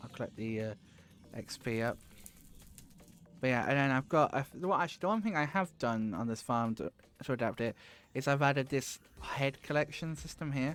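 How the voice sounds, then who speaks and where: Speaking with a British accent, a man uses a medium pitch and lively intonation at a fairly quick pace, broken by long, frequent pauses. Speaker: gaming streamer. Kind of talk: live stream commentary. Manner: casual, rambling with fillers.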